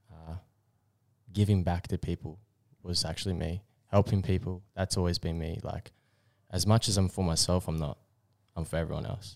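A man speaks at a moderate pace in a very deep, low voice, with ordinary pitch variation. He leaves long, frequent pauses, and the recording is very clean with a silent background. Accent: Australian. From Australia, Queensland (Bribie Island). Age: 20s. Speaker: podcast co-host. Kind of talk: casual chat.

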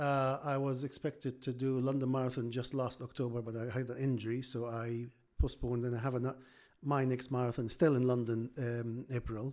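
This man speaks with an Arabic accent at a medium pitch. The recording is very clean, with a silent background. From Egypt. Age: 50s. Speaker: surgeon and amateur marathon runner. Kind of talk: casual interview. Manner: hesitant, with frequent repetitions.

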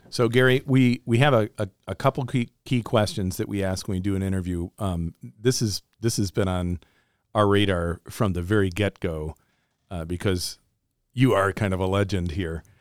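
A man talks at a moderate pace in a fairly low pitch with ordinary pitch variation, an ordinary speaking voice. The sound is dry and close with no echo, on a very clean recording with a silent background. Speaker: pastor, podcast host. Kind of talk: interview.

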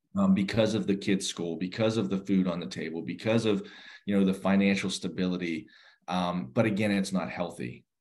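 A man with an American accent speaks at a very deep, low pitch with vocal fry and ordinary pitch variation. He talks at a fairly quick pace against a quiet background. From Western Pennsylvania, near Pittsburgh. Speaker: nonprofit executive director. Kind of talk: interview.

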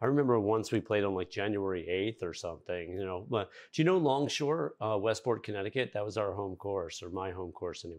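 A man in a normal speaking voice, fairly low in pitch, at a fairly quick pace over a quiet background. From Virginia, Fairfax County. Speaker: podcast host. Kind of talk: interview.

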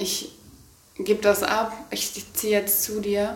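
Amid noticeable background noise and audible room echo, a woman speaks at a fairly slow pace and medium pitch in a monotone, flat way. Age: 20s. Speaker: podcast co-host. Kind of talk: casual chat. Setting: holiday apartment. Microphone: poor audio quality, noisy microphone.

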